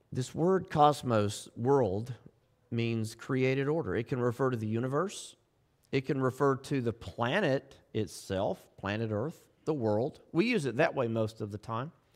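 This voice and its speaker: The speaker has a Southern US accent and a fairly slow pace. The recording is very clean, with a silent background. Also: man, medium pitch for a man, ordinary pitch variation. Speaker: pastor. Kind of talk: sermon. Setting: church. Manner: subdued, restrained.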